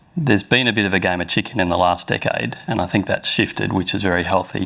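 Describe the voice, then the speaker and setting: Fairly quick man with an Australian accent over noticeable background noise. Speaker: mining executive. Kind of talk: panel discussion.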